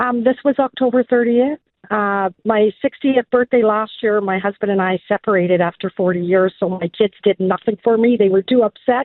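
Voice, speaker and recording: At a moderate pace, a woman speaks in a plain, everyday voice with a fairly high pitch and ordinary pitch variation. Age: 60s. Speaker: caller. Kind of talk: casual phone-in chat. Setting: phone call.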